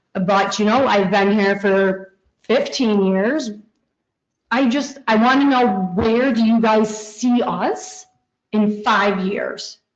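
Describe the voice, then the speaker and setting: A woman with an American accent speaks at a very slow pace and very even loudness. Her fairly high pitch shows ordinary pitch variation, with audible room echo. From Heuvelton, northern New York. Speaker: resident speaking at public comment. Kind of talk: public comment at council meeting.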